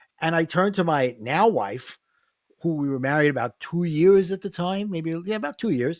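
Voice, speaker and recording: A man with a high pitch talks in a New York accent with lively intonation. The sound is dry and close, with no echo. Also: moderate pace. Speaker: life coach and author. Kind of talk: podcast interview.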